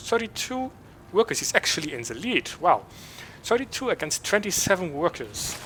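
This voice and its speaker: A man talks with a German accent at a moderate pace. Noticeable background noise runs under his voice. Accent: German accent speaking English. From Germany. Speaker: esports caster. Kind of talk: esports play-by-play commentary.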